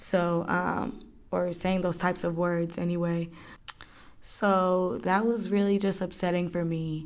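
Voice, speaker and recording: Fairly slow speech with fairly even intonation carries audible room echo. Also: woman, fairly low pitch for a woman. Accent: American. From Georgia, US. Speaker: podcast host. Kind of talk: solo podcast monologue. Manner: casual, many fillers.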